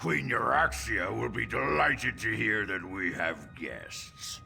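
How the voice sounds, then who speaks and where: Over clear background music, a man puts on a raspy character voice and speaks at a fairly slow pace. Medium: game stream. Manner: smug.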